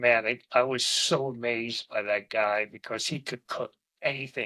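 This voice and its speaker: At a fairly slow pace, a man at a medium pitch speaks in a bright, sharp tone, recorded dry and close with no echo. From New Jersey (Bayonne, New York metro area). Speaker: retired chef and construction worker. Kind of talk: casual chat.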